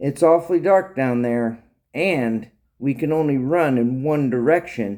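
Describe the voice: Over a quiet background, plain reading aloud unfolds with ordinary pitch variation.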